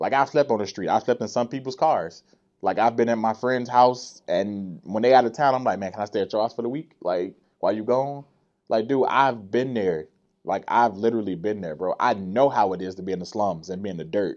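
A man in an ordinary speaking voice with an American accent, medium in pitch, with lively intonation. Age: 30s. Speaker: dancer and entertainer. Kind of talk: casual chat. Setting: studio.

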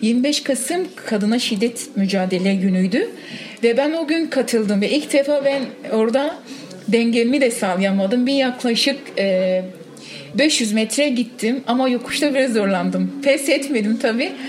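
Over noticeable background noise, a woman talks at a fairly slow pace in a high voice with ordinary pitch variation. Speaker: cyclist, women's cycling group member. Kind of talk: interview. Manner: halting.

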